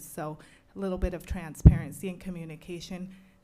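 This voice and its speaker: Speaking at a fairly quick pace in a fairly low voice, a woman keeps her intonation fairly even while audible room echo surrounds her. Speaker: resident making public comment. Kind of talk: public comment at city council. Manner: loud.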